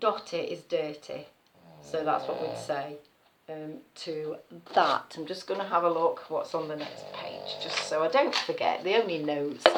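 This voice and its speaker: A woman's moderately paced speech is accompanied by noticeable background noise. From Nottinghamshire, East Midlands. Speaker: nursery worker. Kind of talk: casual talk to camera.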